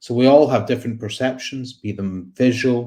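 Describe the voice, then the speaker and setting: A man with a Scottish accent, a dark, mellow tone and medium pitch, at a moderate pace with ordinary pitch variation. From Scotland, Glasgow. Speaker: psychiatrist and researcher. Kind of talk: conference talk. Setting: online conference with slides.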